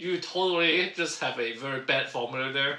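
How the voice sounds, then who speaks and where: A man talks at a fairly slow pace. He has a slight Cantonese accent. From Hong Kong, moved to North America at ten. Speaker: podcast co-host, career coach. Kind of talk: casual podcast chat. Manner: laughs while talking.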